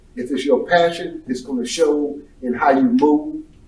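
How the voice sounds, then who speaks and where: At a moderate pace, a man speaks with ordinary pitch variation in a room with audible echo. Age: 60s. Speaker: carpet cleaning business owner. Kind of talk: casual chat.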